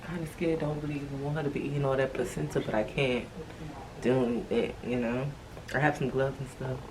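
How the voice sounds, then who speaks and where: With audible room echo and noticeable background noise, a woman whispers at a very fast pace. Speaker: lifestyle vlogger. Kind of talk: casual vlog. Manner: whispering.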